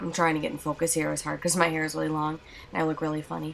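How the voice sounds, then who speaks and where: A woman is heard over noticeable background noise. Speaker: beauty vlogger. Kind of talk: tutorial voiceover. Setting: home recording, voiceover. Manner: casual, filler-heavy.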